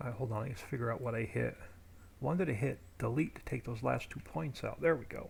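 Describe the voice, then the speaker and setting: Vocal fry runs through a man's medium-pitched voice. He talks at a fairly quick pace with ordinary pitch variation. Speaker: game streamer. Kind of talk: casual chat.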